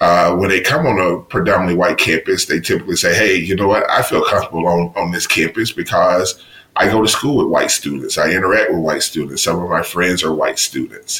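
A man with an American accent talks at a fairly quick pace with hardly any pauses over noticeable background noise. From US South, Mississippi. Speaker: university diversity officer and professor. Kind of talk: interview.

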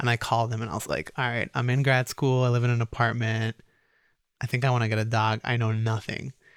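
In an American accent, a man at medium pitch speaks at a very fast pace with monotone, flat intonation, the sound dry and close with no echo in a very clean recording with a silent background. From Egypt and Minnesota. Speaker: entrepreneur, dog brand founder. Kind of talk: casual interview. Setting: studio.

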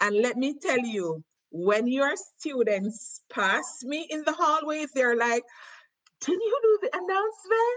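A woman with a Jamaican accent talks at a fairly slow pace, her high voice moving in very wide pitch swings. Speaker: cultural exchange teacher. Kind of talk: casual conversational interview. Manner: enthusiastic.

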